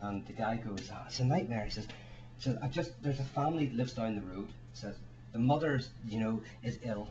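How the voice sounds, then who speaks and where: There is audible room echo as a man speaks at a fairly quick pace and a medium pitch. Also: ordinary pitch variation. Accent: Northern Irish. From Ireland. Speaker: author and speaker. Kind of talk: panel talk. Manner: fast; halting, repeats words.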